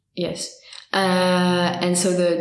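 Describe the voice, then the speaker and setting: There is noticeable background noise and audible room echo around a woman speaking at a fairly low pitch. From France, near Geneva. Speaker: student volunteer for a listening helpline. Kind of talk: podcast interview.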